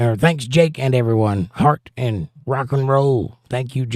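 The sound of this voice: Unforced reading, its pitch shifting in an ordinary way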